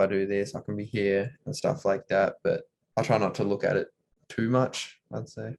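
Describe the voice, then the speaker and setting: A man in an Australian accent at a moderate pace. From Australia (Tasmania). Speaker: college basketball player. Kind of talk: interview. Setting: video call.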